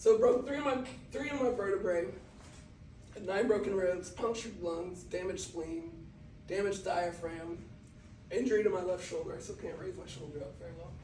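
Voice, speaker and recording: Speaking with an American accent at a fairly quick pace, a man with a high pitch uses lively intonation, big swings in loudness and long, frequent pauses, amid noticeable background noise and audible room echo. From Brazil. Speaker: motivational speaker. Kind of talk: motivational talk. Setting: talk to a sports team.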